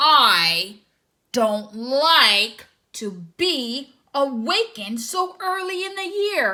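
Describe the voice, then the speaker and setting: Growling in a put-on character voice, a woman speaks at a very slow pace with a high pitch and very wide pitch swings. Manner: growling, grumpy.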